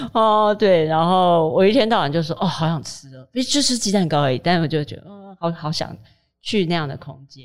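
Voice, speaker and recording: A woman with a plain, everyday voice talks at a fairly quick pace, her intonation lively and her loudness swinging widely. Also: fairly low pitch for a woman. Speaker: food writer. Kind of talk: casual chat.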